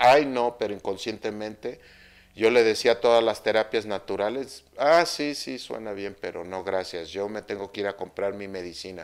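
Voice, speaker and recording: Speech moves at a moderate pace with ordinary pitch variation. The background is quiet. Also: man. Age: 50s. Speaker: Mayan astrology teacher. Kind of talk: spiritual talk monologue. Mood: personal, reflective story. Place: home room.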